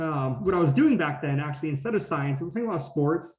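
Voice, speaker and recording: A man's fairly high-pitched voice comes across as somewhat breathy. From California (Gilroy). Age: 20s. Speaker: graduate student scientist. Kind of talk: presentation talk. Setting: video call.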